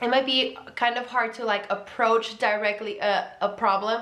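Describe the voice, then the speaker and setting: Someone speaks with a Mexican accent amid noticeable background noise and audible room echo. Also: woman. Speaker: vlogger. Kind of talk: casual advice vlog. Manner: casual, filler-heavy with self-corrections.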